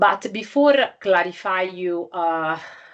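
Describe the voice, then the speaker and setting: A woman speaks in an Italian accent. Her pitch is fairly low. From Italy. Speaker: scientific journal editor. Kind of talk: lecture. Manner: halting, many fillers.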